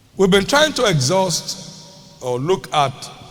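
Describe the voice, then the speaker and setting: Noticeable background noise fills the clip. Through it, a man can be heard talking. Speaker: preacher, church bishop. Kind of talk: sermon, preaching to a congregation. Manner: emphatic, teaching, rhythmic delivery.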